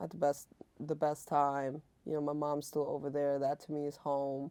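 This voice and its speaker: A woman's very deep, low voice carries a dark, mellow tone. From Germany. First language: German. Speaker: entertainment industry creative. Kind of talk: podcast interview. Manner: casual, filler-heavy.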